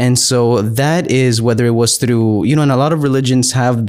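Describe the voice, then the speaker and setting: On a very clean recording with a silent background, a man with an American accent uses an ordinary speaking voice at a medium pitch and a moderate pace. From Texas. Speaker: pastor. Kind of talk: casual chat. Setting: home studio.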